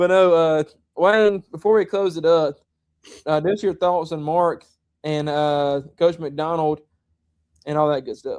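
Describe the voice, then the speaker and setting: With a Southern US accent, a man with a high pitch speaks at a fairly slow pace, keeping his intonation fairly even and taking long, frequent pauses. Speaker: high school football show host. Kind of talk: casual chat. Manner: monotone.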